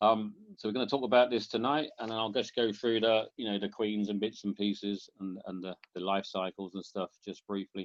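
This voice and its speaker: A man's fairly low voice at a fairly quick pace, with fairly even intonation. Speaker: bee inspector. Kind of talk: public talk with slides. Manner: fast; casual, hesitant.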